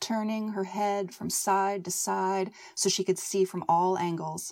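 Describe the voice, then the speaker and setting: At a moderate pace, a woman with an American accent speaks at a medium pitch in a monotone, flat intonation. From Northern California. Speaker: author and creative writing professor. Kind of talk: reading aloud her own short story; casual interview chat. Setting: home recording in a blanket fort.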